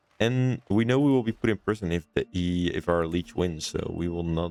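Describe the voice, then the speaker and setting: In a Dutch accent, a man speaks at a moderate pace with a very deep, low pitch and ordinary pitch variation. The sound is dry and close, with no echo. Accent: Dutch, non-native English. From Netherlands. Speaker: gaming YouTuber. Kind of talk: let's play commentary. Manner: hesitant, many fillers.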